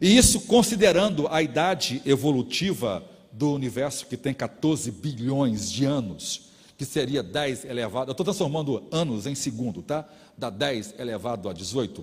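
A man speaks at a fairly slow pace with a medium pitch and vocal fry. His pitch swings very widely. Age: 50s. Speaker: pastor. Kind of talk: sermon.

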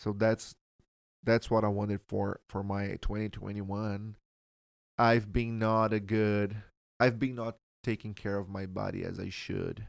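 A man with a Portuguese accent speaks in a flat monotone, leaving long, frequent pauses. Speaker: church member guest. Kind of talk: casual chat about faith.

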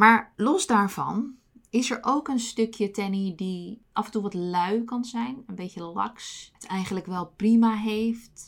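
Very slowly, a woman with a medium pitch and ordinary pitch variation speaks in a very clean recording with a silent background. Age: 30s. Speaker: podcast host. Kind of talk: personal monologue.

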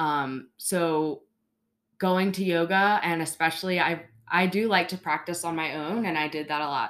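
Speaking with an American accent, a woman uses an ordinary speaking voice at a moderate pace. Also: fairly low pitch for a woman, fairly even intonation, very clean recording, silent background. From Baltimore, Maryland. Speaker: yoga studio manager. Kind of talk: casual interview.

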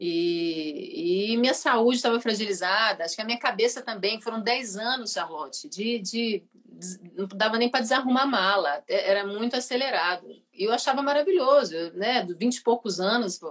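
With a plain, everyday voice, a woman speaks at a moderate pace in a fairly high pitch. Her intonation is lively. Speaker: singer. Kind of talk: casual chat.

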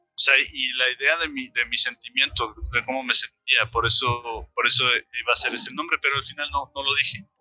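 A man speaks at a moderate pace with hardly any pauses. Music plays in the background. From Mexico, Xalapa (Veracruz). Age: 30s. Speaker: coffee roaster. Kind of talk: interview. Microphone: too quiet.

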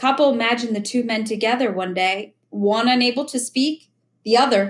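Pitch moves in an ordinary way. The voice is a natural reading voice, with a quiet background.

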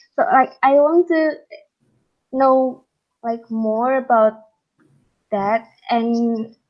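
A woman with an Indonesian accent and high pitch, very slow pace, long, frequent pauses and ordinary pitch variation. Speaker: international master's student. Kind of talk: casual interview chat.

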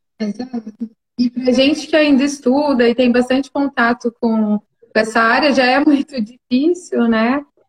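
The speech is fairly slow with fairly even intonation and a dry, close sound with no echo. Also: woman, high pitch for a woman. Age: 20s. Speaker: clinical psychologist. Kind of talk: casual chat.

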